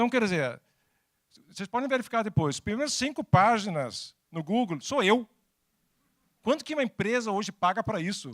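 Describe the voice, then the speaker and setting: In a dry, close sound with no echo, a high-pitched man speaks with long, frequent pauses. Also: lively intonation, moderate pace. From Denmark. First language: Danish (speaking Portuguese). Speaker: technology executive and speaker. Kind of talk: talk to an audience. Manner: halting.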